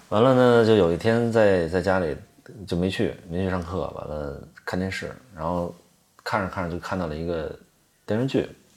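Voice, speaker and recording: At a moderate pace with long, frequent pauses, a man speaks in a very deep, low pitch with ordinary pitch variation. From Tianjin, China. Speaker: actor. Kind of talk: casual chat over drinks.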